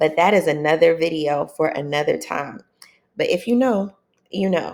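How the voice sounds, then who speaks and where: A soft-spoken woman with an American accent talks at a moderate pace with a very deep, low pitch. The recording is very clean, with a silent background. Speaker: self-help video creator. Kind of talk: motivational monologue to camera.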